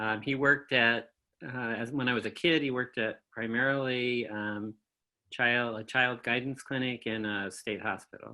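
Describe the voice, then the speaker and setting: With a bright, sharp tone, a man at medium pitch talks at a moderate pace, his intonation fairly even. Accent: US Midwestern. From Michigan, US Midwest. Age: 70s. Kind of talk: oral history interview. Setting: video call.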